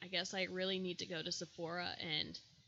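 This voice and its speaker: A woman's voice with vocal fry. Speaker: makeup tutorial vlogger. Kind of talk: tutorial. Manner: casual, chatty.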